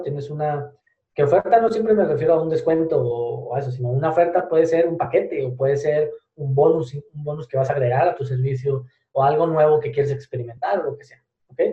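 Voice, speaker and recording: Speaking at a fairly quick pace, a man uses a fairly high pitch. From Spain. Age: 20s. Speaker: digital marketing entrepreneur. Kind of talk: podcast interview.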